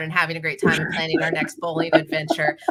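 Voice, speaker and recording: A woman races along at a very fast pace, with noticeable background noise present. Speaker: football podcast host. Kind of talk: show sign-off. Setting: podcast with live chat. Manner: stuttering a bit.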